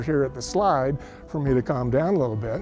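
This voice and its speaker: A man over faint background music, the sound dry with no echo. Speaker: witness. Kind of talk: interview answer. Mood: reflective storytelling. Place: open country. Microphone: lapel.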